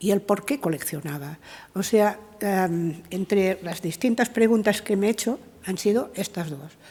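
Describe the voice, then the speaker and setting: A woman with a Catalan accent speaks at a medium pitch with ordinary pitch variation. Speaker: art historian, professor. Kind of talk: conference talk. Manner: halting, many fillers.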